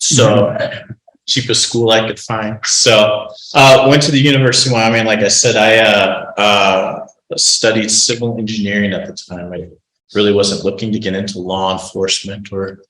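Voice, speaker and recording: In an American accent, a man speaks at a moderate pace and medium pitch. His intonation is fairly even, and room echo is audible. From Colorado, Denver area. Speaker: county sheriff. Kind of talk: informal talk to a group. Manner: many fillers and hesitations; speaks carefully, filtering his words.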